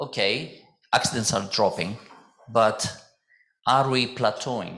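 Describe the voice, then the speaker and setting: A loud man at medium pitch, bright and sharp in tone, with ordinary pitch variation, a very slow pace and audible room echo. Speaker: mechanical engineer, safety committee chairman presenting. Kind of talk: conference presentation.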